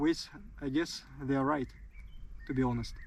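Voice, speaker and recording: A man speaks with a Russian accent. His intonation is monotone and flat. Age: 20s. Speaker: soldier. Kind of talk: interview. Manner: halting.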